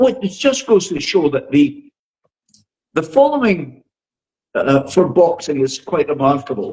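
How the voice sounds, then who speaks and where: Speaking with a Scottish accent, a man talks at a fairly slow pace in a high pitch. His pitch swings very widely. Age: 80s+. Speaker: boxing social media influencer. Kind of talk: podcast interview.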